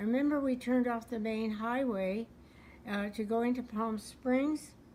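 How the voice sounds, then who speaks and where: Somewhat breathy, a voice with an American accent moves at a moderate pace with ordinary pitch variation. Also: woman. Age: 80s+. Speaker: World War Two era eyewitness. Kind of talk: interview answer.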